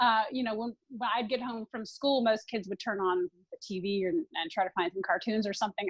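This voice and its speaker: Speaking at a fairly quick pace with hardly any pauses, a woman with a slight Southern US accent talks at a medium pitch. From US South, Tennessee and Orlando, Florida. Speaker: consultant to venture capitalists. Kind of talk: interview. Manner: halting, many fillers.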